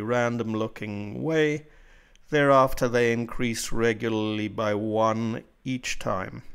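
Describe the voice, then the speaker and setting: Fairly even intonation comes through in a very clean recording with a silent background. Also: man. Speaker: self-published author. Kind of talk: software tutorial narration. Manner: slow, clear.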